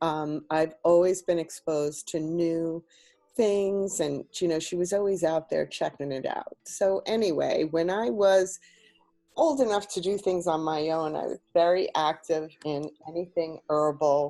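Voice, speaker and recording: A woman speaks at a fairly low pitch with ordinary pitch variation, music playing in the background. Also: fairly slow pace. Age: 60s. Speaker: healthy food advocate and business founder. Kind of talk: interview. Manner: hesitant, many ums.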